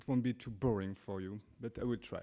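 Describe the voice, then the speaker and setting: A man speaks in a French accent with a dark, mellow tone. His intonation is fairly even. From France. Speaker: artist. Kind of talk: lecture. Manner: halting.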